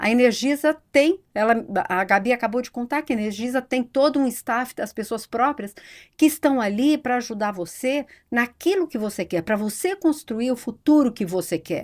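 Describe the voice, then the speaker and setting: A woman speaks in a high pitch with lively intonation at a moderate pace. The recording is very clean, with a silent background. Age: 60s. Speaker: economist and psychology researcher. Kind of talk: podcast interview.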